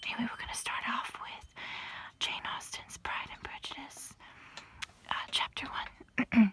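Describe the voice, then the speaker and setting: Whispering at a fairly slow pace, a woman makes long, frequent pauses and big swings in loudness over noticeable background noise. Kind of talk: casual talk to camera. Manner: whispered.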